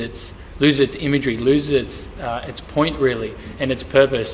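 Over light background noise, a man talks at a moderate pace with fairly even intonation. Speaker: church pastor on panel. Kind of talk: interview answer. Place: church.

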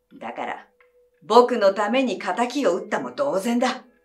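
Fairly slow speech from a woman with a fairly high pitch, music playing behind her. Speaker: actress. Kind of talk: audiobook reading of a mystery story. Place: home room.

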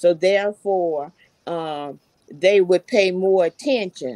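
In a Southern US accent, a woman speaks at a fairly slow pace with ordinary pitch variation, the sound dry with no echo over a quiet background. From Alabama, Dothan; Alabama. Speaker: retired teacher and party activist; retired teacher. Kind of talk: panel discussion. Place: home room. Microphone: video call.

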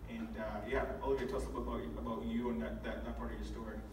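A man talks at a very fast pace with little pitch movement. Loud background noise and audible room echo fill the recording. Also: medium pitch for a man.

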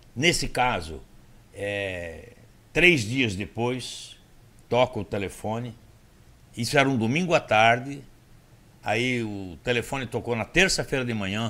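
Bright and sharp in tone, a man talks at a medium pitch with lively intonation. His pace is fairly slow, with long, frequent pauses. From Brazil. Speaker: motivational speaker. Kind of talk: casual interview storytelling. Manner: animated. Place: studio. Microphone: studio mic.

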